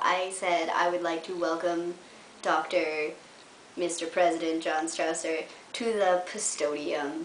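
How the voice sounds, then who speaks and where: Amid noticeable background noise and audible room echo, a woman with a Canadian accent speaks fairly slowly in a fairly low voice. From Canada, Windsor, Ontario. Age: 20s. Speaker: journalism student vlogger. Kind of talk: casual vlog monologue. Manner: animated.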